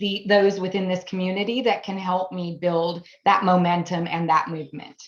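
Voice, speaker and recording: Monotone and flat, a woman speaks at a fairly quick pace. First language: German. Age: 40s. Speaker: AI business consultant, new network member. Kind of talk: video interview introduction.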